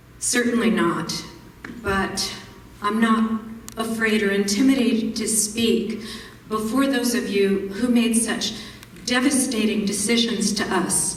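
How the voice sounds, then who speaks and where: Over noticeable background noise and audible room echo, a woman speaks at a fairly slow pace and fairly high pitch, with fairly even intonation and long, frequent pauses. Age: 60s. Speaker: teacher speaking at public comment. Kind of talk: public comment at school board meeting. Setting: school board meeting. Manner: formal.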